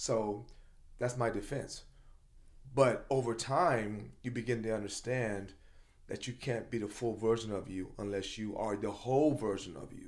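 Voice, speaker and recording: A man speaks at a moderate pace with medium pitch and ordinary pitch variation. Audible room echo surrounds the voice. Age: 50s. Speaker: motivational speaker and coach. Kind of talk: casual chat. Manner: passionate, loud.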